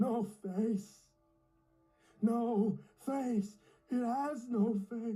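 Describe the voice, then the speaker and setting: A put-on character voice at a fairly high pitch moves at a very slow pace. Long, frequent pauses come through over faint music in the background. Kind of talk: horror narration. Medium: read story. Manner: breathy, repetitive, unsettled.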